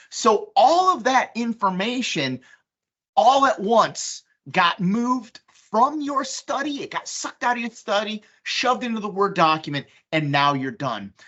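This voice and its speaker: A woman with a fairly high voice and vocal fry speaks at a fairly slow pace, her pitch swinging very widely. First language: Polish. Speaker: software presenter. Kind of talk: software demonstration. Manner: casual, conversational with fillers.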